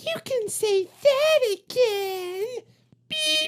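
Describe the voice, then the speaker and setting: A squeaky, extremely high-pitched put-on character voice carries the whole clip. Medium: read story. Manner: shouty, excitable.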